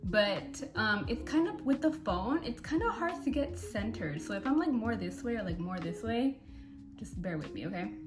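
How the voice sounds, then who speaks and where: Amid audible room echo and noticeable background noise, a woman with an American accent speaks at a moderate pace. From California. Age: 20s. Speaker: beauty vlogger. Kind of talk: casual chat.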